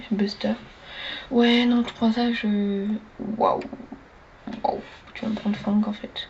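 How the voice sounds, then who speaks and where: Soft-spoken and very slow, the speaker leaves long, frequent pauses over noticeable background noise. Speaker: gaming streamer. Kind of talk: gameplay commentary. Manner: animated.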